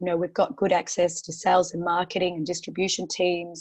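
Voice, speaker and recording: Against a quiet background, someone with an Australian accent speaks at a fairly quick pace. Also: woman. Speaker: portfolio manager. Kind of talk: webinar interview. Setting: online webinar. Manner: halting, many fillers.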